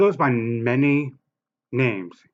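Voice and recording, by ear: A man's fairly bright voice at a slow pace, with fairly even intonation.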